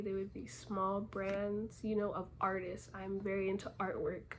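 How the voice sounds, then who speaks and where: Soft-spoken and somewhat breathy, a woman talks at a medium pitch. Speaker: small clothing brand owner. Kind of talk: casual Q&A vlog. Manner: casual, conversational.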